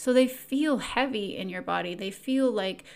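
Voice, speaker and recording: The delivery has a calm, soothing tone and moves at a very slow pace. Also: woman. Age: 40s. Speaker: podcast host, self-help coach. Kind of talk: solo self-help talk.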